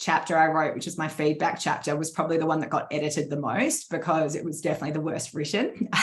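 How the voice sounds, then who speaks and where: A woman with an Australian accent and a fairly low pitch. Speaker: leadership coach and author. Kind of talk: interview answers at virtual book launch. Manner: fast.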